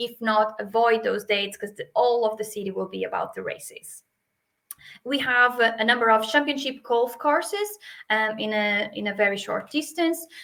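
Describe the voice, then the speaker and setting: A woman with a Portuguese accent speaks at a moderate pace, her fairly high voice bright and sharp with ordinary pitch variation. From Portugal. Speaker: hotel sales manager. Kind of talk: webinar presentation. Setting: video call webinar. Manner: hesitant, many fillers.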